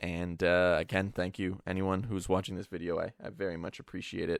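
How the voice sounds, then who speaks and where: A man's very deep, low voice, fairly quick and with hardly any pauses, in fairly even intonation, dry and close with no echo, on a very clean recording with a silent background. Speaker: Minecraft YouTuber. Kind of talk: gameplay commentary outro. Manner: sometimes fast.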